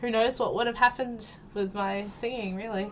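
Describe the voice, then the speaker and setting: A woman with an Australian accent at a fairly quick pace, music in the background. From South Australia. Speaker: gaming YouTuber. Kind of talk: casual vlog Q&A. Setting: home recording with headset and background music. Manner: hesitant, many ums.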